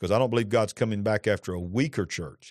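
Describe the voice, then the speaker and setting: Over a quiet background, a man with a Southern US accent speaks in an animated tone with lively intonation. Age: 50s. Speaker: pastor. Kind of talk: religious talk show conversation. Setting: studio.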